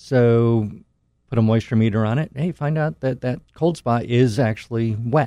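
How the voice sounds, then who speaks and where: At a fairly slow pace, a man talks with a dark, mellow tone, medium pitch and ordinary pitch variation. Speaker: home inspector. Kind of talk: casual chat. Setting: studio.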